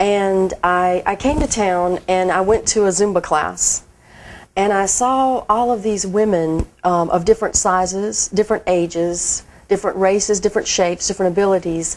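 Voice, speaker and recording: With a Southern US accent, a woman speaks at a medium pitch and moderate pace. Her intonation is fairly even and her loudness very even. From Mississippi, USA. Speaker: marketing director. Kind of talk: interview answer.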